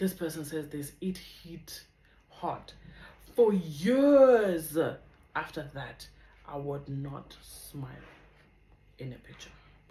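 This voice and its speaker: A woman with a very deep, low pitch speaks in a dark, mellow, somewhat breathy tone with lively intonation and big swings in loudness. Her pace is very slow, with long, frequent pauses and audible room echo. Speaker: vlogger. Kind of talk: testimony.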